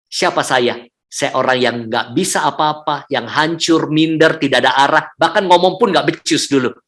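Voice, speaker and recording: With hardly any pauses, an ordinary speaking voice keeps a moderate pace and ordinary pitch variation. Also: man, fairly high pitch for a man. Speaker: public speaking trainer and church speaker. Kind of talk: testimony. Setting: hotel room, online service.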